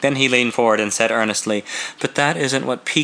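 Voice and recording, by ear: Here the speaker is reading aloud in a natural voice.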